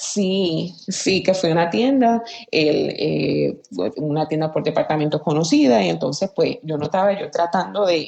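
Slow-paced and fairly low in pitch, a woman speaks with lively intonation and a dark, mellow tone. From Aguada, western Puerto Rico. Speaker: former journalist, communications professional. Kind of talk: casual interview. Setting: remote call, early morning. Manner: halting, many fillers.

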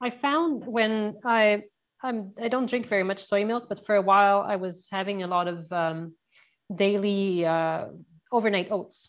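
A woman with a Canadian accent has an unremarkable speaking voice at a medium pitch. She talks at a fairly slow pace with ordinary pitch variation. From Canada. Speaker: podcast host. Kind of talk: interview.

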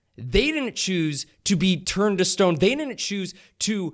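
A man speaks in a high voice with lively intonation. The recording is very clean, with a silent background. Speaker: podcast host and roleplay player. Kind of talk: casual roleplay chat.

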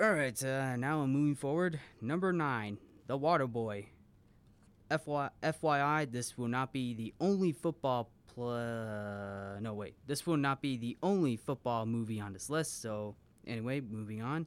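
In a very clean recording with a silent background, a man speaks at a fairly slow pace and medium pitch with ordinary pitch variation. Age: 20s. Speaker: movie review show host. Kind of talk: solo movie countdown commentary. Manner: hesitant, many fillers and repetitions.

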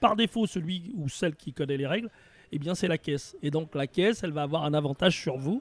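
A man with a fairly high, plain, everyday voice talks at a fairly quick pace with ordinary pitch variation, the sound dry and close with no echo. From Paris region, France. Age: 60s. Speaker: retirement planning consultant. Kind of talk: interview conversation.

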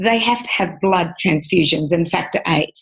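A woman speaks with an Australian accent. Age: 50s. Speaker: nutritionist and author. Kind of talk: interview.

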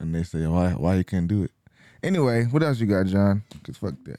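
A man with a dark, mellow tone talks at a fairly quick pace with ordinary pitch variation. The recording is very clean, with a silent background and a dry, close sound free of echo. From US, Mexican heritage. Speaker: podcast co-host. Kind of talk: casual chat.

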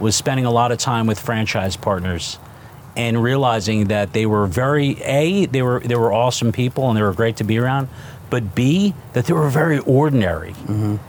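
With a New Jersey accent, this man talks at a fairly quick pace and a medium pitch. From New Jersey (Newark). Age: 50s. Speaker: restaurant chain co-founder. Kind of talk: casual interview. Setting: studio.

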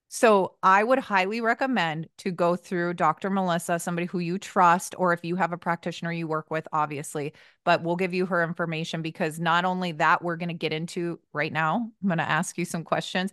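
A woman's unremarkable speaking voice, fairly low in pitch, with fairly even intonation at a fairly quick pace and a dry, close sound with no echo. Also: quiet background. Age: 30s. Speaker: podcast host. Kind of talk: casual chat.

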